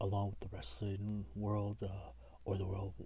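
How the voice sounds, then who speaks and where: A man's fairly low voice comes out somewhat breathy, with a dark, mellow tone. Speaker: wrestling fan video blogger. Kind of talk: casual talk to camera.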